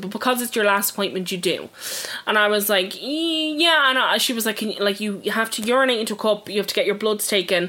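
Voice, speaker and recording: Speaking at a very fast pace, a woman with an Irish accent uses a medium pitch and ordinary pitch variation. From Ireland. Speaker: true crime podcast co-host. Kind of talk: casual chat.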